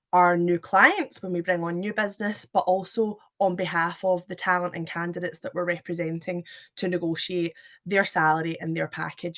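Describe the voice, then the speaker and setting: In a Scottish accent, a woman speaks at a moderate pace with a fairly low pitch. Her intonation is monotone and flat, set against a quiet background. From Scotland. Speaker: recruitment manager. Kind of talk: webinar presentation. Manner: hesitant, many fillers.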